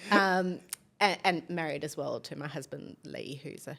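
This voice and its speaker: A woman with a slight South African accent speaks at a very deep, low pitch, with vocal fry. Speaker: business executive. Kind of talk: podcast interview.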